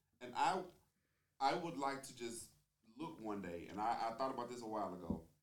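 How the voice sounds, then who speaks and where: With lively intonation, a man speaks at a medium pitch and a moderate pace. There is audible room echo. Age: 30s. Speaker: podcast co-host. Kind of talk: casual debate chat.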